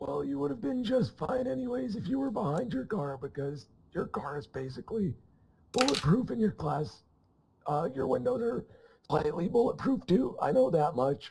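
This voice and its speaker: In a put-on character voice, a man talks at a moderate pace, raspy and fairly high-pitched, with very wide pitch swings. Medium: machinima. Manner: offhand, deadpan, evasive.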